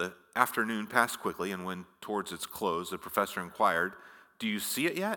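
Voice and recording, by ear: The speaker is reading aloud in a natural voice.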